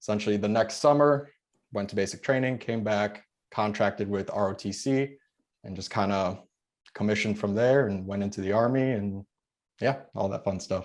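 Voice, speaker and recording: This man speaks with a Chicago accent at a fairly low pitch. The background is quiet. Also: ordinary pitch variation, moderate pace. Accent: Chicago American. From Chicago suburbs, US. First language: Polish. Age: 20s. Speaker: military veteran and real estate investor. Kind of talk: podcast interview. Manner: casual.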